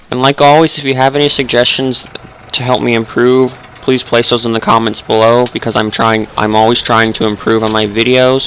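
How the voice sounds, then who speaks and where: A man speaks at a fairly quick pace in a medium pitch, his intonation monotone and flat, with noticeable background noise behind him. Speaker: gaming youtuber. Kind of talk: let's play gameplay commentary. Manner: halting, self-correcting.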